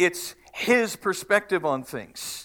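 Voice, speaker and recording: A man projects a raised, high voice with a bright, sharp tone. The recording is very clean, with a silent background. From Canada, Manitoba. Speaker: pastor. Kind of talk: sermon. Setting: church.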